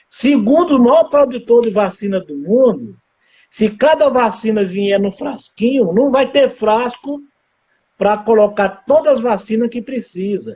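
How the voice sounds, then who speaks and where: A man's extremely high-pitched voice with ordinary pitch variation, at a fairly slow pace. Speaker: surgeon and gastroenterologist. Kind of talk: live interview. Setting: Instagram live broadcast.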